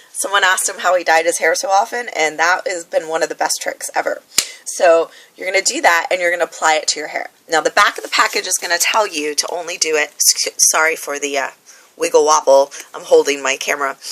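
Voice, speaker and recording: A woman with a fairly low pitch speaks at a very fast pace with ordinary pitch variation, over noticeable background noise. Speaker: hair tutorial vlogger. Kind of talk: tutorial. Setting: handheld camera. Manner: casual, filler-heavy.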